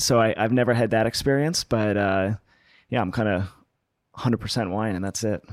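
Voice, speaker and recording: A man with an American accent and an unremarkable speaking voice talks fairly quickly at a fairly low pitch with ordinary pitch variation, on a very clean recording with a silent background and a dry, close sound with no echo. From US West Coast (Los Angeles). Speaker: winemaker. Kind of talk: interview.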